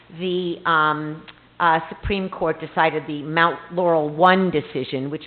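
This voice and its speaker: A woman's fairly even intonation comes through amid noticeable background noise. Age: old. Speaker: court-appointed special master. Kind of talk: public presentation. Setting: council meeting. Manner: loud; many fillers.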